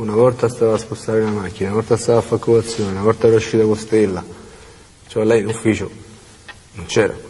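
A man's very fast speech, monotone and flat, broken by long, frequent pauses over light background noise. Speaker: convicted prisoner. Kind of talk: interview. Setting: prison. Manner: halting. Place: meeting room. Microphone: lapel.

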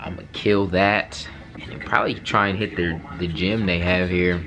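A man speaks at a fairly slow pace. Clear music plays behind him. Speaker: vlogger. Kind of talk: casual vlog chat. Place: home room.

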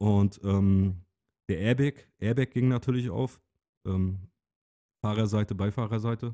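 The delivery is fairly slow, with long, frequent pauses and fairly even intonation. The tone is dark and mellow, and the sound is dry and close with no echo. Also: man, fairly low pitch for a man. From Rügen, northeastern Germany. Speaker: podcast co-host. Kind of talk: casual chat.

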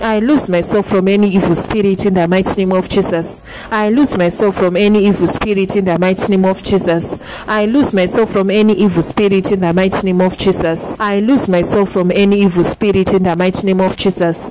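A woman speaks at a fairly quick pace with hardly any pauses, using a medium pitch, fairly even intonation and very even loudness, over noticeable background noise. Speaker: prayer leader. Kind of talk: fervent call-and-repeat deliverance prayer, one decree repeated over and over. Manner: insistent, relentless repetition of the same declaration; commanding, urging listeners to pray loud.

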